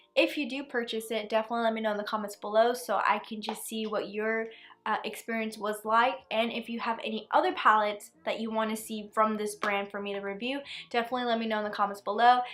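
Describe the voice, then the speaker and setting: Noticeable background noise sits behind a woman's voice. She talks at a very fast pace with a fairly high pitch. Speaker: beauty YouTuber. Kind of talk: product review. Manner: casual, animated.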